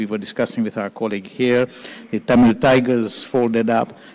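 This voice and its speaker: A man is speaking. Light background noise can be heard behind him. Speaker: panel moderator. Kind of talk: moderated panel discussion. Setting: stage with audience. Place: hall. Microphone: handheld.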